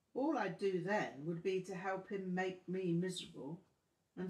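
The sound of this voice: An unforced reading voice is heard here.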